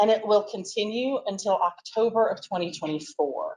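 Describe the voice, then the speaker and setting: The speaker uses lively intonation at a moderate pace. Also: woman. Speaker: state agency staff presenter. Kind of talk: presentation at board meeting. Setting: in-person meeting room. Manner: loud.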